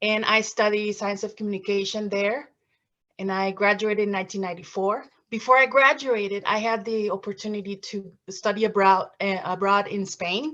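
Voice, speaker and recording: A woman's medium-pitched voice with a Mexican accent, a bright, sharp tone, fairly even intonation and a moderate pace, against a quiet background. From Mexico, Veracruz. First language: Spanish. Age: 50s. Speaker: former TV reporter, graduate student. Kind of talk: presentation. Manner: halting.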